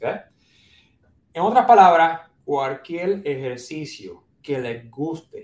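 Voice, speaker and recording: In a Puerto Rican accent, a man with a fairly high pitch talks at a very slow pace with lively intonation. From Puerto Rico, San Juan. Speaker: neurologist. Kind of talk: interview.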